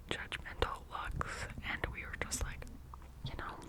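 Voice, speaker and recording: A woman whispering at a fairly slow pace amid noticeable background noise. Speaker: ASMR creator. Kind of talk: whispered ASMR ramble to camera. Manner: whispered, close-mic, casual.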